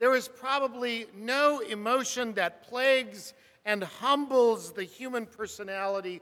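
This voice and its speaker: A man with an American accent speaks fairly slowly in a raised, projected voice. His pitch is high, his tone bright and sharp, with ordinary pitch variation. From US West, Burbank, California. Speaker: preacher. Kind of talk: sermon.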